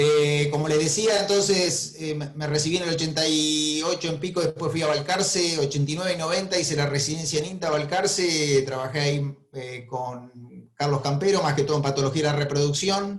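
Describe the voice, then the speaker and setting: Speaking at a moderate pace with hardly any pauses, a man with an Argentine accent has a fairly high pitch. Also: fairly even intonation. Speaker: veterinary professor. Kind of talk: webinar lecture. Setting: video call.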